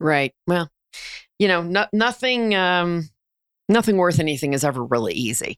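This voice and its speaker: Speaking at a moderate pace with an American accent, a woman uses a fairly low pitch, very wide pitch swings, and long, frequent pauses. The recording is very clean, with a silent background and a dry, close sound with no echo. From New Jersey. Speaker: podcast host and leadership coach. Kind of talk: interview.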